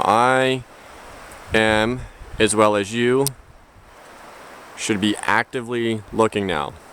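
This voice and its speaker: Pausing long and often, a man talks at a very slow pace with fairly even intonation. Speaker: outdoor survival vlogger. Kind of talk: outdoor tutorial. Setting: outdoors on a trail. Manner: quiet, low voice.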